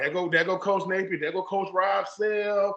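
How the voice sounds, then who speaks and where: A man talks at a fairly quick pace. His voice is high in pitch with a bright, sharp tone. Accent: Southern US. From US South, Georgia. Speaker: podcast host, former pro football player. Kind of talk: casual interview conversation. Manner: animated.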